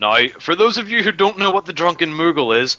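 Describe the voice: Speaking at a fairly quick pace, a man has fairly high pitch, big pitch swings and a bright, sharp tone.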